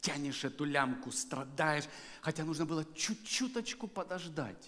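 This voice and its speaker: The man's tone is animated and his intonation lively. He talks at a fairly slow pace. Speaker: guest preacher. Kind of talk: sermon. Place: church. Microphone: headset.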